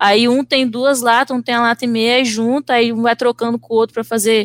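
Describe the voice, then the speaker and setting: The sound is dry and close with no echo. A woman speaks at a moderate pace with fairly high pitch. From Brazil, Vitória, Espírito Santo. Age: 20s. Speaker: visual artist. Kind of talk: casual chat.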